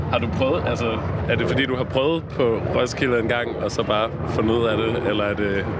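Noticeable background noise and audible room echo surround a man at a medium pitch. He keeps a moderate pace, ordinary pitch variation and very even loudness. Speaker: podcast host. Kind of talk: casual chat. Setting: outdoors.

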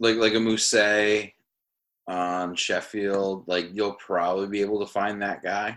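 Heard on a very clean recording with a silent background, a man with a New England accent has a fairly low pitch and a bright, sharp tone. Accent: New England American. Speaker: podcast host. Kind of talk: casual banter about fantasy football.

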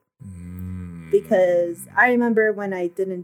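A woman talks with a fairly low pitch and monotone, flat intonation. Music plays in the background. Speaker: podcast guest. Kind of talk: casual chat. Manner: soft-spoken.

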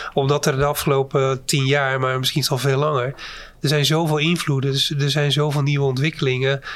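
The delivery is fairly quick, with monotone, flat intonation and very even loudness. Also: man, fairly high pitch for a man. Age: 50s. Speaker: company CEO. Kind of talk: interview.

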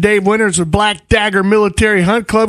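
A fairly quick delivery with an American accent. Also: man. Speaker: outdoors radio host. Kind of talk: casual chat. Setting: studio.

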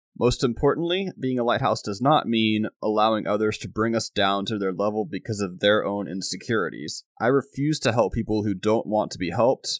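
A man with a normal speaking voice and a fairly low pitch talks at a fairly quick pace with ordinary pitch variation and hardly any pauses, captured in a very clean recording with a silent background and a dry, close sound with no echo. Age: 20s. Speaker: podcast host. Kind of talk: motivational monologue.

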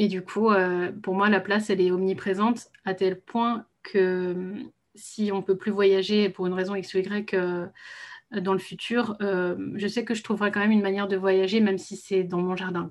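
Monotone, flat intonation from a woman at medium pitch, against a quiet background. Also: moderate pace. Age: 30s. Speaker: translator and travel business founder. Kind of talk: casual interview. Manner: hesitant, many fillers.

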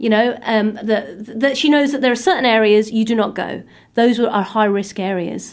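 Moderate-paced speech from a woman, fairly high in pitch. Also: ordinary pitch variation. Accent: East Anglian. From England, Suffolk. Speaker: crime author and former probation officer. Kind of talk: interview.

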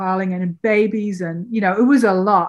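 A woman's medium-pitched voice in a British accent. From Britain. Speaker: documentary filmmaker. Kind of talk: interview conversation.

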